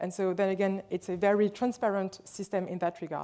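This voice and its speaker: A woman speaks at a fairly quick clip with a French accent. Her pitch sits in the middle, and her tone is dark and mellow. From France, Lyon. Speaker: hospital administrator. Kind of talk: conference presentation.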